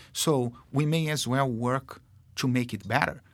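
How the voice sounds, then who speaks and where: A man with a Brazilian accent, medium pitch and ordinary pitch variation, at a fairly slow pace in a very clean recording with a silent background. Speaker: marketing executive. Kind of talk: casual interview. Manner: halting, full of fillers.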